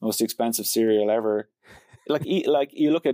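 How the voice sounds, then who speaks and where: A man speaks with a Dublin accent. The sound is dry and close, with no echo. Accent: Dublin Irish. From Ireland, Dublin. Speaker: tech company founder and CEO. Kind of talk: interview.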